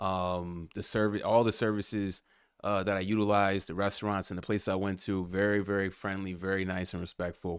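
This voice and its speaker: Over a silent background in a very clean recording, a man with an American accent speaks fairly quickly in a fairly low, monotone, flat voice. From United States. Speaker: podcast host, travel vlogger. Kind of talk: casual monologue. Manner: hesitant, many fillers.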